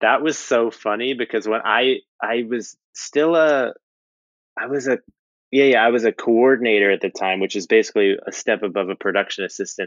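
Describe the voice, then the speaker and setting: A medium-pitched man with an American accent at a moderate pace, with a dry, close sound, no echo, and a quiet background. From New Jersey, US. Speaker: animation artist. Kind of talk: casual interview. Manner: halting, many fillers and restarts.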